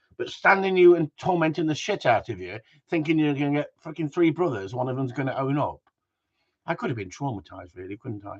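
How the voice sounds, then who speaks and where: A man with an English accent talks at a very fast pace with fairly high pitch, somewhat breathy. His pitch swings very widely, loudness swings a lot, and the sound is dry and close with no echo. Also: quiet background. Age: 60s. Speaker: gundog trainer. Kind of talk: casual chat. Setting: live stream. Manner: animated.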